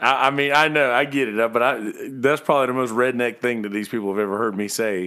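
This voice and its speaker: A man speaks with a Southern US accent at a medium pitch. He talks very fast, with hardly any pauses. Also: ordinary pitch variation. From South Carolina, Bennettsville. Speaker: podcast host. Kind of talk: casual chat.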